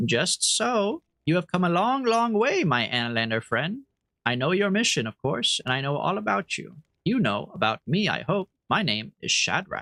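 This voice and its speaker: Putting on a gravelly character voice, a man speaks at a moderate pace with a high pitch and very wide pitch swings. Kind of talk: game character voicing. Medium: game stream.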